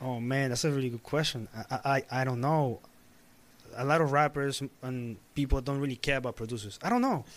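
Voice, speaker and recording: Recorded very cleanly against a silent background, a man in a normal speaking voice with an American accent talks at a fairly quick pace, keeping a medium pitch and fairly even intonation. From Peru (Lima), then Queens, New York. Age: 20s. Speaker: music producer. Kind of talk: casual interview.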